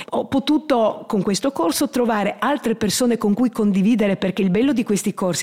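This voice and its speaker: The woman's voice sits at a fairly high pitch for a woman. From Trieste, Italy. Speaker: grandmother and course participant. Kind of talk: interview testimony. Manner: halting.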